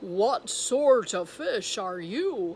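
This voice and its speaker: A female-sounding voice is put on as a character. It sits at a fairly high pitch. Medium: read story.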